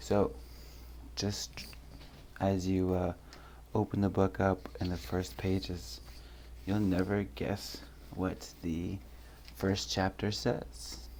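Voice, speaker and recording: Very deep and low in pitch with vocal fry, a man speaks at a very slow pace, leaving long, frequent pauses while his pitch swings very widely. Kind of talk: casual talk to camera.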